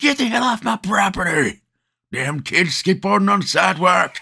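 Here a man puts on a character voice at a high pitch. He keeps a moderate pace with lively intonation. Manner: angry.

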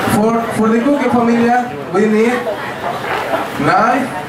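A man speaks amid loud background noise. His voice carries an audible room echo. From Mexico. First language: Spanish. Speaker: cooking class instructor. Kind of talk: cooking class demonstration. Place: shop. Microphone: pa.

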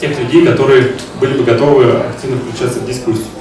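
Talking at a very fast pace, a man is heard with audible room echo and faint music in the background. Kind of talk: presentation talk. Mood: friendly, smiling. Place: hall.

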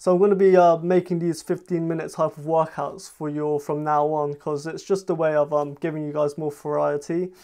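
At a fairly quick pace, a man speaks in a monotone, flat intonation over a quiet background. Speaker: fitness youtuber. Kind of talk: casual vlog chat. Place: home room. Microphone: camera far.

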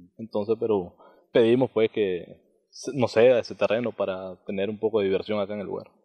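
In a quiet background, a man talks at a fairly quick pace. His pitch is fairly low and his intonation fairly even. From Nicaragua. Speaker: community member; interviewee. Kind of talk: interview. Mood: calm, earnest. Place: open country. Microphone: handheld.

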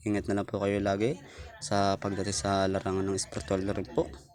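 A man speaks fairly quickly at a fairly low pitch with ordinary pitch variation. Background noise is noticeable. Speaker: YouTuber on spiritual practices. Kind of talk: casual vlog. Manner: halting.

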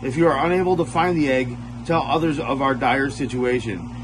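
A man speaks at a moderate pace with ordinary pitch variation. Noticeable background noise runs beneath him. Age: 40s. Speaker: spiritual content creator. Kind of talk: reading aloud. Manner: halting. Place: home room. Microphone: phone near.

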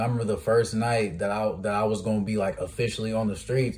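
A man with a fairly low, somewhat breathy voice speaks at a fairly quick pace. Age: 20s. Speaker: podcast host. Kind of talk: casual interview. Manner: animated.

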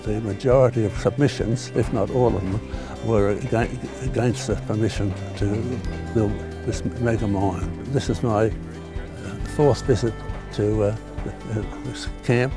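Speaking at a fairly slow pace with ordinary pitch variation, a man is heard in a dry sound with no echo, with clear music in the background. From Sydney, Australia. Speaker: war veteran; environmental protester. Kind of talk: interview answer. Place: open country. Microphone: lapel.

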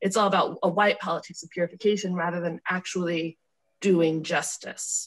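Against a quiet background, a woman speaks in a somewhat breathy voice with fairly even intonation. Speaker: student. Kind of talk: group discussion. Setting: video call. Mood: thoughtful, earnest. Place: home room. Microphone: video call.

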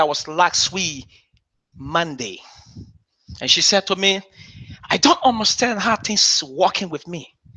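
Over a quiet background, a man uses a raised, projected, high-pitched voice with lively intonation, speaking at a fairly slow pace with long, frequent pauses. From Liberia. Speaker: bishop. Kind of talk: sermon. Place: church.

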